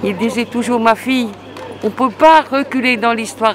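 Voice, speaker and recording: Over crowd noise in the background, a woman speaks in a high pitch. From Hungary. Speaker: member of the public. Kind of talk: street interview. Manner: halting.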